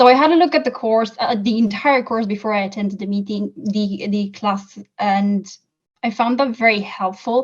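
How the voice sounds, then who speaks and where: The speaker has a non-native accent and a somewhat breathy voice. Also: woman, fairly high pitch for a woman, ordinary pitch variation, moderate pace. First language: not English. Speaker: course graduate giving testimonial. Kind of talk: interview testimonial.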